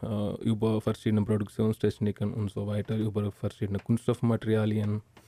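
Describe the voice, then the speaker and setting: A man speaks with a fairly low pitch and a dark, mellow tone. The sound is dry and close, with no echo. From India. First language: not German (Indian) (speaking German). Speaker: engineering graduate. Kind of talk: interview. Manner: halting.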